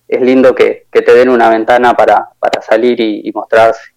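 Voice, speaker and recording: Dry, close sound with no echo, and a man at a moderate pace. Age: 30s. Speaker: musician. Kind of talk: casual interview.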